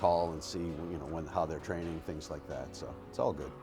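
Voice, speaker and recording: A man with a very deep, low voice talks at a moderate speed while music plays in the background. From New England. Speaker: horse trainer. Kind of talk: interview answers. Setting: horse barn. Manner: soft-spoken; halting.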